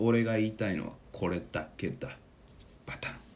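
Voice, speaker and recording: Animated in tone, a man speaks at a medium pitch. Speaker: podcast host. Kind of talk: casual monologue.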